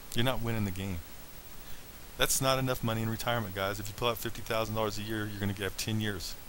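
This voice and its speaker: A man with an American accent, fairly low pitch and monotone, flat intonation, at a very fast pace amid audible room echo. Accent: Southern US, sounds like a Southerner. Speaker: financial coach. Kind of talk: online lesson.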